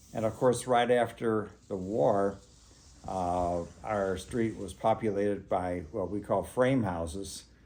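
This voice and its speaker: A man with an American accent, fairly low in pitch and dark and mellow in tone, at a fairly slow pace with ordinary pitch variation. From US Midwest, St. Louis area, Missouri. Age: 80s+. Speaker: local resident sharing memories. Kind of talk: oral history interview. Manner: halting, many fillers.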